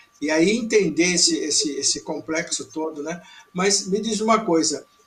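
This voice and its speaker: Noticeable background noise sits behind a man speaking at a moderate pace with a high pitch and ordinary pitch variation. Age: 70s. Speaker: TV program host. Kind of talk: interview.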